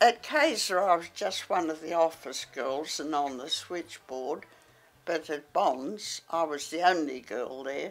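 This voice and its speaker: A woman with an Australian accent speaks at a fairly slow pace in a very deep, low voice, her pitch varying in an ordinary way while her loudness swings widely. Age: 80s+. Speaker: retired model and office worker. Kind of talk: interview. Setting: at home.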